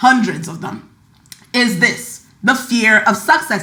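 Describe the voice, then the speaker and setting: Against audible room echo and noticeable background noise, a woman speaks fairly slowly in a high pitch, her tone animated and her intonation lively. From Nigeria. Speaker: podcast host, money mindset coach. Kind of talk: casual podcast monologue.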